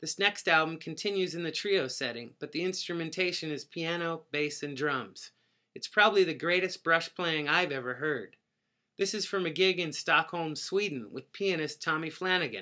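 In a very clean recording with a silent background, a man with a fairly high pitch and a bright, sharp tone speaks at a moderate pace with ordinary pitch variation. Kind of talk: radio DJ patter introducing jazz tracks on community radio. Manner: conversational and informative, calmly rattling off dates and personnel.

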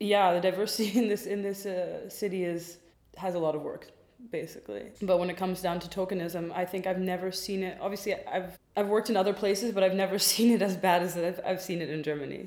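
A woman of medium pitch at a very fast pace, in a flat monotone. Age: 20s. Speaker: stylist. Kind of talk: casual chat.

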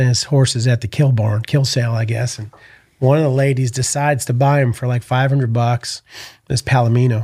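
A fairly quick, somewhat breathy voice, dark and mellow, in a flat monotone. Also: man, medium pitch for a man. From US Northeast, Connecticut. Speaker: entrepreneur and team roper. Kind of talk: casual interview chat.

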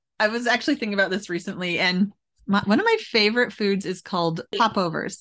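In a plain, everyday voice, a woman speaks at a medium pitch and moderate pace. Her pitch varies in an ordinary way against a quiet background. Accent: Canadian. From Canada (Alberta, Edmonton area). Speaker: author. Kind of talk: interview.

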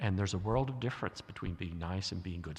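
This man speaks with an American accent. His pitch is very deep and low and varies in an ordinary way. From US South. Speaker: guest preacher, theologian. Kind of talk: sermon.

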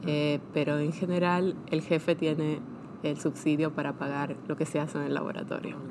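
Over noticeable background noise, a woman with a very deep, low pitch talks at a moderate pace in a monotone, flat intonation. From Argentina (Buenos Aires and Bahía Blanca). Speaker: scientist, lab head. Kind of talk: interview. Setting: early morning recording.

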